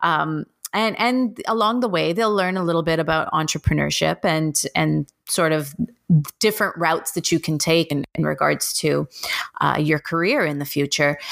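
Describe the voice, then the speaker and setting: With a Canadian accent, a woman speaks at a moderate pace in a very deep, low pitch. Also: ordinary pitch variation. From Toronto, Canada. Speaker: elementary school teacher and podcaster. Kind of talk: interview. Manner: hesitant, many fillers.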